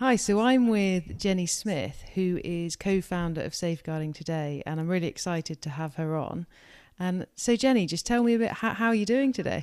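A woman with an ordinary speaking voice talks at a medium pitch and a moderate pace on a very clean recording with a silent background. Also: lively intonation. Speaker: podcast host. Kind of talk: casual interview chat.

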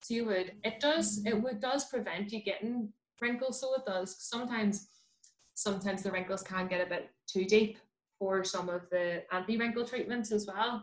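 Speaking in a Belfast accent, a woman talks at a moderate pace with a fairly high pitch and ordinary pitch variation. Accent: Belfast Northern Irish. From West Belfast, Northern Ireland. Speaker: dentist. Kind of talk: casual chat.

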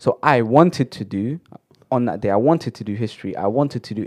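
A very fast man with a London accent, lively intonation, and a dry, close sound with no echo against a quiet background. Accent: London multicultural English. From London, Shepherd's Bush. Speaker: podcast co-host. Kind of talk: casual chat. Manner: animated, high energy.

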